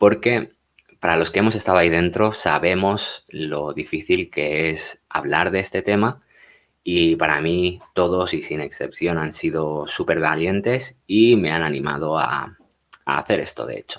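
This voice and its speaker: A man's very deep, low voice with ordinary pitch variation, at a fairly slow pace, in a very clean recording with a silent background. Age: 30s. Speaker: ex-Jehovah's Witness youtuber. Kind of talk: personal testimony. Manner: hesitant, many filler sounds; unscripted, natural.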